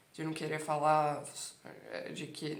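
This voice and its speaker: Audible room echo surrounds a woman speaking very slowly in a very deep, low voice. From Brazil. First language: Italian (speaking Portuguese). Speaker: Italian language teacher. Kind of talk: casual monologue to camera, language coaching.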